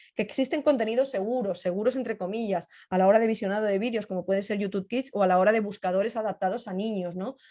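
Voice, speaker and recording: A woman's medium-pitched voice with a dark, mellow tone at a very fast pace, against a quiet background. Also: ordinary pitch variation. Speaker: cybersecurity journalist and trainer. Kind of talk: webinar talk and Q&A.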